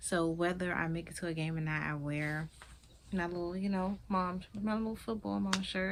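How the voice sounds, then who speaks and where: This is a woman speaking with a Maryland accent. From Maryland, Prince George's County. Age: 20s. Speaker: vlogger and skincare business owner. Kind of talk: casual vlog introduction and product talk.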